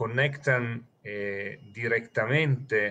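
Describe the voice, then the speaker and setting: A man with a non-native accent speaks at a very slow pace, his bright, sharp tone carried on fairly even intonation. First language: not Spanish (speaking Spanish). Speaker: terrorism financing analyst. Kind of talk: interview. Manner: halting, many fillers.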